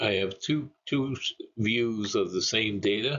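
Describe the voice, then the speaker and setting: A man with a Canadian accent at a very slow pace. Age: 70s. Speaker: retired energy planner. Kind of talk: presentation. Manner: halting, with frequent fillers.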